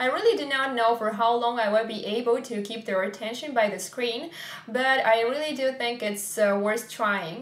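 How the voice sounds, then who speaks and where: With a non-native accent, a woman speaks at a moderate pace in a fairly high pitch with ordinary pitch variation, over noticeable background noise and audible room echo. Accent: non-native English, self-described imperfect. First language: Russian. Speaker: vlogger, parent raising bilingual kids. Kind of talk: vlog address to camera. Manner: hesitant, frequent uh fillers.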